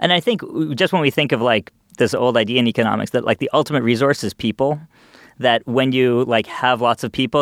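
An unremarkable speaking voice moves at a fairly quick pace in a very clean recording with a silent background and a dry, close sound with no echo. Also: man. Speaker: economist. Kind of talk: casual discussion.

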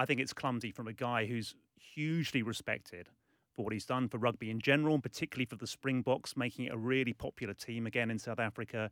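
A man with a British accent at a very fast pace, medium pitch and fairly even intonation, in a dry, close sound with no echo on a very clean recording with a silent background. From UK. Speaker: sports journalist. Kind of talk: radio interview. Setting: studio.

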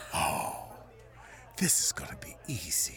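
Over clear background noise, a man does a raspy put-on character voice at a fairly slow pace. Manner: warm, encouraging, fatherly.

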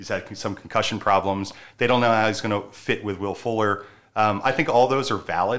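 A man speaks in an ordinary speaking voice with an American accent and fairly low pitch. His pace is fairly quick and his intonation fairly even. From Baltimore, Maryland. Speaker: sports betting contributor. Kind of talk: casual chat.

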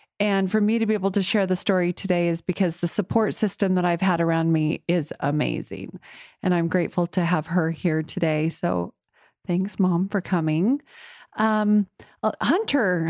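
At a moderate pace and very even loudness, a woman with a medium pitch and ordinary pitch variation speaks in an unremarkable speaking voice over a quiet background. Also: dry, close sound with no echo. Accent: American. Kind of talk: interview testimony. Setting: host's home.

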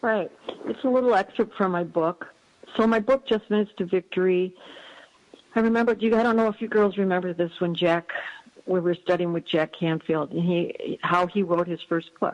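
Speaking at a moderate pace, a woman with a medium pitch and ordinary pitch variation has an ordinary speaking voice. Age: 60s. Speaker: life coach and author. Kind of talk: casual interview.

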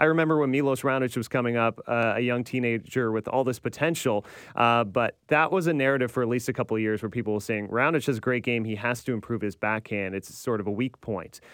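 At a very fast pace with hardly any pauses, a man talks at a medium pitch with ordinary pitch variation. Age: 30s. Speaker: tennis podcast host. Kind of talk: casual chat.

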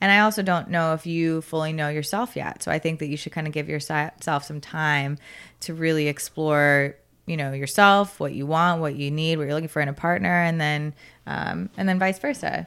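In an American accent, the speaker goes at a moderate pace with ordinary pitch variation on a very clean recording with a silent background. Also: woman, very deep, low pitch for a woman. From US South, South Florida. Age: 20s. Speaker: podcast guest. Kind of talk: casual chat.

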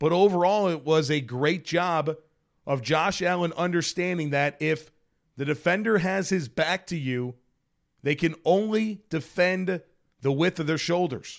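A man speaks at a fairly slow pace in a high pitch with ordinary pitch variation. The recording is very clean, with a silent background. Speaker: sports podcast host. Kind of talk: solo post-game recap monologue.

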